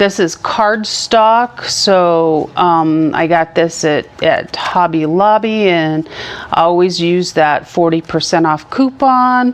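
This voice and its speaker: Noticeable background noise sits behind a woman's voice. She speaks at a very slow pace and a fairly low pitch. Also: ordinary pitch variation, very even loudness. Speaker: church craft instructor. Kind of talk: tutorial. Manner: casual, hesitant with fillers.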